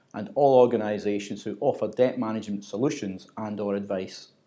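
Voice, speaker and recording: The voice has a dark, mellow tone and a Glaswegian accent. It moves at a fairly quick pace with fairly even intonation. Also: man. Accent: Glaswegian Scottish. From Scotland, Glasgow. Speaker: corporate trainer. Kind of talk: scripted narration. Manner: formal.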